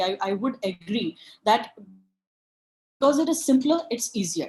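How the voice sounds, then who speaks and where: A high-pitched woman with an Indian accent and lively intonation. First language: Marathi. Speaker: webinar speaker. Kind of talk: lecture. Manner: halting.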